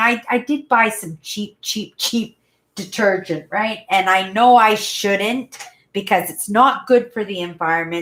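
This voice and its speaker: A woman with a normal speaking voice and a Canadian accent, medium in pitch with ordinary pitch variation, at a fairly slow pace on a very clean recording with a silent background. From Manitoba, Canada. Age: 50s. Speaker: YouTuber. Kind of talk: casual live-stream chat. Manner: rambling, conversational.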